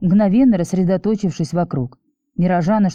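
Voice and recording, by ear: In a natural voice, a passage is read aloud while the background stays quiet.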